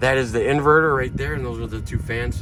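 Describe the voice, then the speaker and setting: Audible room echo surrounds a man's voice. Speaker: RV salesman. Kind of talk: product walkthrough. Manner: fast.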